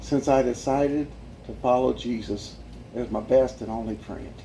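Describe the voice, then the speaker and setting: The speech moves at a fairly slow pace. Audible room echo can be heard. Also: man. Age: 60s. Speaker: evangelist sharing life story. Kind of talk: testimony. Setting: church with audience. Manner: animated.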